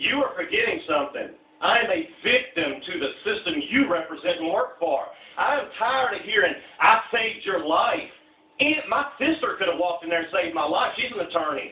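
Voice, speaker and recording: Loud, high pitched male speech at a fairly quick pace, full of very wide pitch swings, over noticeable background noise. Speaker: criminal defendant confronting his attorney. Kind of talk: heated argument. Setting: meeting at his home. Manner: animated.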